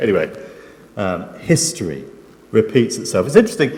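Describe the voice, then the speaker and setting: Male speech amid noticeable background noise and audible room echo. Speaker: preacher. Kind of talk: sermon. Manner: soft-spoken; halting.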